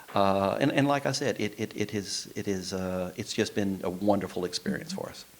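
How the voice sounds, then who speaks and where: With a Texan accent, a man speaks at a moderate pace, his fairly low pitch showing ordinary variation. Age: 60s. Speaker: insurance agent. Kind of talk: interview.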